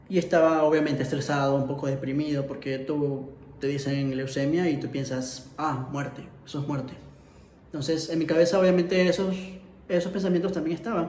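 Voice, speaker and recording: A fairly high-pitched man's voice, fairly quick and fairly even in intonation, over noticeable background noise. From Ecuador. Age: 20s. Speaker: illustrator and filmmaker. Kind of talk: personal story told to camera.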